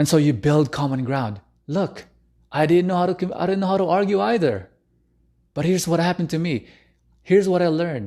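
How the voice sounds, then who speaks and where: A man with a non-native accent, high pitch and dark, mellow tone, lively intonation, fairly quick pace, long, frequent pauses, quiet background. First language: not English. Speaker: relationship coach. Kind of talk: live stream talk. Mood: earnest, personal. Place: home room. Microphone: studio mic.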